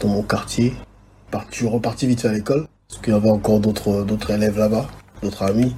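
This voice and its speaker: Though his delivery is very fast, the man leaves long, frequent pauses, speaking somewhat breathily at a fairly low pitch with monotone, flat intonation. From DR Congo (Kinshasa), moved to Austria at 12. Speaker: videographer and photographer. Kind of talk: interview. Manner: halting, repeats words.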